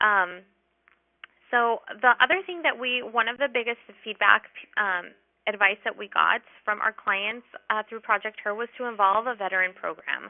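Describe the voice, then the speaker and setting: Speaking with a fairly high pitch and ordinary pitch variation, the woman leaves long, frequent pauses. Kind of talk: webinar presentation. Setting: online webinar. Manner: fast; hesitant, many filler words.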